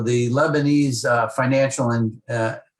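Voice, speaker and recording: A man speaks at a medium pitch, sounding somewhat breathy. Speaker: former ambassador, president of a policy task force on Lebanon. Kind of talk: radio interview answer.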